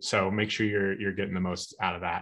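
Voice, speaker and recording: A man with a Midwestern US accent at a fairly quick pace, against a quiet background. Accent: General American, Midwestern. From US Midwest (Omaha, Nebraska); Nebraska. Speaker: tech speaker, database expert; speaker. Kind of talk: technical webinar talk. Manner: fast. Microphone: video call.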